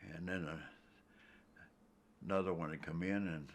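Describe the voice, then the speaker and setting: A man with an American accent speaks at a moderate pace in a very deep, low pitch. The recording is very clean, with a silent background. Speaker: war veteran. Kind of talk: interview answer.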